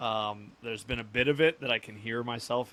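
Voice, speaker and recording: At a fairly quick pace, a man with a medium pitch speaks in a bright, sharp tone. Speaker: encephalitis patient. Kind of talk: interview. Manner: stutters when tired; halting, searching for words.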